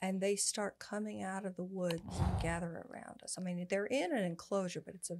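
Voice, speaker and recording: An American accent comes through at a moderate pace with hardly any pauses and ordinary pitch variation. There is noticeable background noise. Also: woman. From Texas and Louisiana. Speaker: former actress and animal communicator. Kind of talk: casual chat. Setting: in Las Vegas. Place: studio. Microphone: studio mic.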